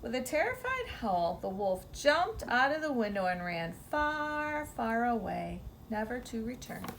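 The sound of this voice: Lively intonation runs through this unforced reading voice.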